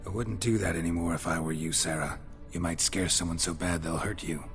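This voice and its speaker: Doing a put-on character voice, a man talks at a fairly quick pace with a very deep, low pitch over clear background noise. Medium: machinima. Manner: dry, low-key.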